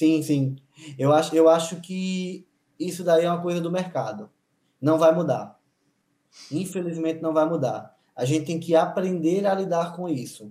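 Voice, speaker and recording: The voice has a dark, mellow tone and is broken by long, frequent pauses. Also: man. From Paraíba, Brazil (interior). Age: 40s. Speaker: dentist. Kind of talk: casual chat.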